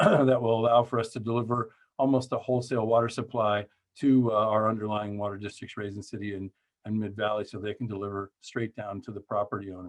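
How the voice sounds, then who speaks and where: This voice moves at a very fast pace with big swings in loudness. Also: man. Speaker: water agency general manager. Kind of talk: presentation.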